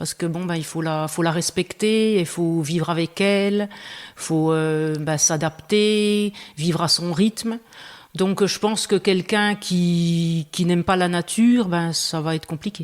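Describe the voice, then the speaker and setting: A woman's very slow, fairly low-pitched speech with a Franche-Comté accent and fairly even intonation, in a very clean recording with a silent background. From Franche-Comté, Belfort. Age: 50s. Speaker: farmer. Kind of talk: interview conversation. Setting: room under renovation. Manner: hesitant, many fillers.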